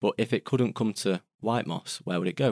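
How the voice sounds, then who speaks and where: A man speaks at a moderate pace with ordinary pitch variation. The sound is dry and close with no echo, and the recording is very clean over a silent background. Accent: Mancunian. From Salford, Greater Manchester. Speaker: trainee landfill manager. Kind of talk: podcast interview.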